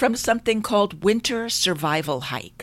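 In a very clean recording with a silent background, a woman talks in an ordinary speaking voice with ordinary pitch variation. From New York, Long Island. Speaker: life and business coach. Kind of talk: solo podcast monologue.

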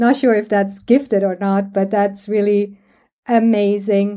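A woman's fairly high voice with a dark, mellow tone, at a moderate pace, in a very clean recording with a silent background. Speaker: podcast host and coach. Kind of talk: interview conversation; scripted intro. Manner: loud, bubbly.

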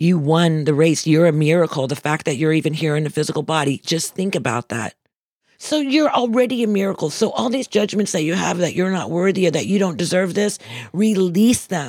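Here is a woman with a normal speaking voice and a fairly low pitch. She speaks at a fairly quick pace with lively intonation. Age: 60s. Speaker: motivational speaker. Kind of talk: inspirational talk.

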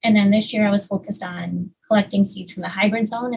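The voice has vocal fry. It moves at a fairly quick pace. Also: woman. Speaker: research technician. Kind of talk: interview.

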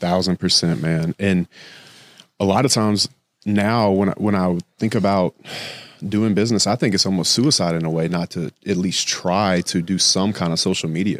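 A man's very deep, low voice with an American accent, in a dry, close sound with no echo. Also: moderate pace, very clean recording, silent background. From US South. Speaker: construction entrepreneur. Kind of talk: casual chat.

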